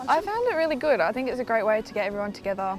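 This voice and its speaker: Over music in the background, a woman with a fairly high pitch speaks at a very fast pace. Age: young. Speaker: event attendee. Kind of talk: vox pop interview.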